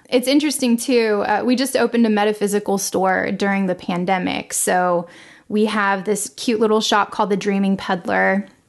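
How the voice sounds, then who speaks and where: Over a quiet background, someone speaks at a moderate pace in an American accent, with fairly even intonation and very even loudness. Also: woman, medium pitch for a woman. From Los Angeles, US. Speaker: singer, composer and sound healer. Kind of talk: interview. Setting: remote call from home.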